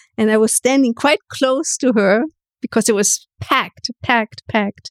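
Speaking at a moderate pace with a German accent, a woman uses a high pitch with ordinary variation in a dry, close sound with no echo. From Germany, itinerant childhood in theater towns. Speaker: photographer. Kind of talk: interview conversation.

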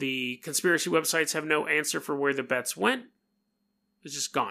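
At a moderate pace, a man with a fairly high pitch and a bright, sharp tone uses ordinary pitch variation on a very clean recording with a silent background. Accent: American. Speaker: paranormal and true crime podcast host. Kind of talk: casual storytelling monologue.

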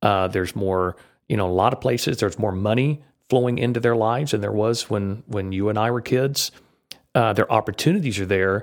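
In a very clean recording with a silent background, a man with a fairly low pitch talks at a fairly quick pace in a normal speaking voice, his pitch varying in an ordinary way. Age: 50s. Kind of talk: interview conversation. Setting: podcast interview.

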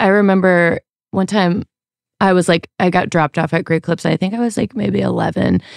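Fairly quick speech comes from a woman with a medium pitch and a plain, everyday voice. Her loudness is very even, and the sound is dry and close, with no echo. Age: 30s. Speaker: musician and audio engineer. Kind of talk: casual chat.

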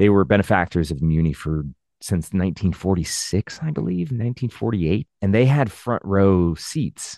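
A man with an American accent and an unremarkable speaking voice, fairly low in pitch, at a moderate pace with hardly any pauses and lively intonation, in a dry, close sound with no echo against a quiet background. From St. Louis, Missouri, US Midwest. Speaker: stage and TV actor. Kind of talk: casual interview chat.

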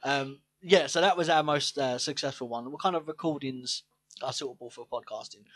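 With a British accent and fairly high pitch, a man talks at a fairly quick pace with ordinary pitch variation and big swings in loudness, in a dry, close sound with no echo. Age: 20s. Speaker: podcast co-host. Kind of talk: casual chat.

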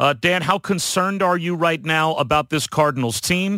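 A man's voice sounds bright and sharp. The recording is very clean with a silent background. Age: 50s. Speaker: sportscaster and podcast host. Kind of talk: casual sports analysis chat.

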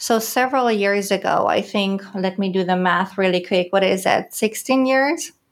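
This woman has a German accent and a medium pitch with ordinary pitch variation. She keeps a moderate pace and very even loudness, with hardly any pauses. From Germany, Recklinghausen (Ruhr area, northwest). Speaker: business development executive. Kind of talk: casual interview.

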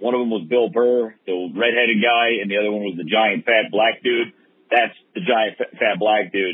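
A man talks at a moderate pace in an unremarkable speaking voice. His pitch varies in an ordinary way. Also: medium pitch for a man. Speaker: podcast producer. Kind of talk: voicemail message. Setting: in a car.

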